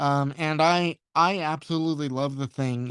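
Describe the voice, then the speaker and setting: In a very clean recording with a silent background and a dry, close sound with no echo, a man speaks at a fairly high pitch with monotone, flat intonation. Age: 20s. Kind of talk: casual interview. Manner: halting, many repetitions and fillers.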